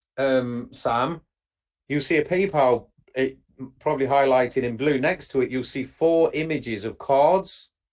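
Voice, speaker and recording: A man speaks in an English accent at a fairly slow pace. His pitch is fairly high, with ordinary variation. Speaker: webinar presenter. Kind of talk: live webinar Q&A.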